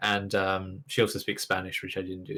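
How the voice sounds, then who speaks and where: A man speaks with a British accent. His tone is bright and sharp. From England. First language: Russian. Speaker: gamer. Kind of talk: interview.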